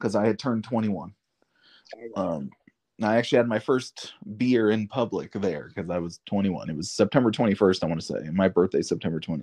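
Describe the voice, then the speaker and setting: A man with a normal speaking voice, fairly low in pitch, at a fairly quick pace. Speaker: guest, wrestling fan. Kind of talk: casual chat, reminiscing.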